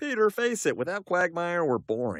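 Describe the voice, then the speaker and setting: The speaker uses a cartoonish character voice on a very clean recording with a silent background. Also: man. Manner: earnest, straightforward.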